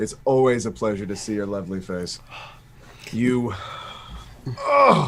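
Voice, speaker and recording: Putting on a gruff character voice, a man speaks at a fairly low pitch and a moderate pace with long, frequent pauses. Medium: actual play. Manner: gruff, grunting.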